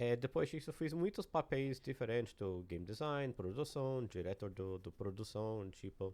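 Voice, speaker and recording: A man with an American accent, medium in pitch with ordinary pitch variation, at a moderate pace, in a dark, mellow tone. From United States. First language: English (speaking Portuguese). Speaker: game creative director. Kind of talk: podcast interview. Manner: halting.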